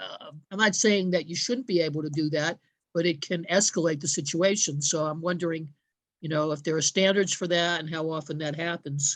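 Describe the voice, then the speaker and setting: Over a quiet background, a woman talks at a fairly quick pace. Her pitch is fairly low and her intonation fairly even. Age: 60s. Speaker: community meeting participant. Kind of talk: question at community meeting. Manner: halting, many fillers.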